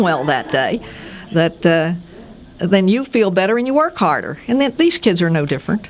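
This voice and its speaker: With music behind her, a woman talks at a fairly quick pace. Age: 70s. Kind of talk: interview answer.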